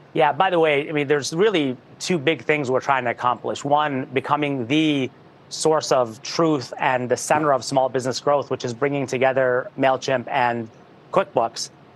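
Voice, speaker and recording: Noticeable background noise sits behind a man with a fairly high pitch. He speaks at a moderate pace with fairly even intonation. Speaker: tech company executive. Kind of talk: interview.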